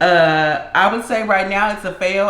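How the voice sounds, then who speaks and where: A woman at a medium pitch speaks at a fairly slow pace. Noticeable background noise and audible room echo are present. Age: 30s. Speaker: food vlogger. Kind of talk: casual chat. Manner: halting.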